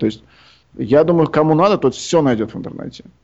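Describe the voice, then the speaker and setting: This man has a fairly high pitch and ordinary pitch variation. It is an unremarkable speaking voice. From Uzbekistan, Tashkent. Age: young. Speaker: composer. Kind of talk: interview.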